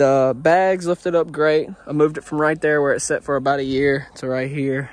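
The sound is dry, with no echo. A man talks at a moderate pace with ordinary pitch variation. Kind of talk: casual vlog chat. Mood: pleased, relaxed. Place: open country. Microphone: phone near.

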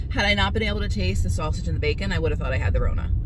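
The woman's voice has a dry sound with no echo, set against noticeable background noise. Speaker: vlogger. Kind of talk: casual vlog chat. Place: car. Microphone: phone near.

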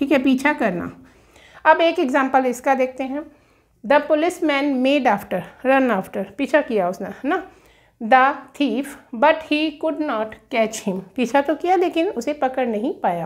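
A woman with a high-pitched voice speaks at a fairly slow pace with lively intonation over a quiet background. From India. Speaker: English teacher. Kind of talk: lecture. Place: classroom. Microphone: camera far.

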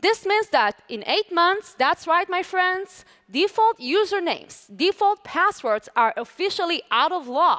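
Against a quiet background, a woman with an Israeli accent speaks fairly slowly, her bright, sharp tone extremely high in pitch and swinging very widely. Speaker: lawyer and lecturer; conference presenter. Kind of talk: conference talk. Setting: stage with audience. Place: stage. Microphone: headset.

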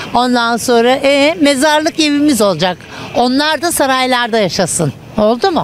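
A woman speaks at a moderate pace in a dry sound with no echo, over light background noise. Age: 60s. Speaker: retiree interviewed in street; interviewee. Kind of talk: street interview. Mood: indignant, complaining about money. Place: street. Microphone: handheld.

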